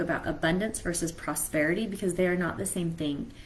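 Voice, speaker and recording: A woman speaks at a fairly quick pace. Audible room echo and noticeable background noise surround her voice. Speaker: mentor. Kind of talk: live stream talk.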